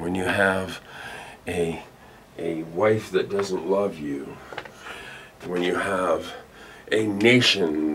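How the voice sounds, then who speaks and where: A man with a very deep, low voice talks very slowly while noticeable noise sounds in the background. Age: 60s. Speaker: YouTube commentator. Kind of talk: comedic rant monologue. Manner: animated; halting, with many fillers.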